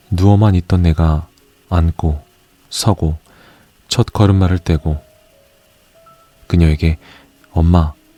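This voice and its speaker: A man's very deep, low voice in a calm tone, very slow with long, frequent pauses, very even loudness and fairly even intonation, dry and close with no echo, with music in the background. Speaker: audiobook narrator. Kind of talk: audiobook reading of essays. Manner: soft-spoken, calm.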